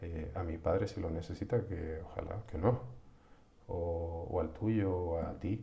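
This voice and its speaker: A man's very deep, low voice at a fairly slow pace, with fairly even intonation and audible room echo. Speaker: psychologist. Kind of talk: live-streamed psychology talk. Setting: live stream from home computer. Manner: halting, many restarts.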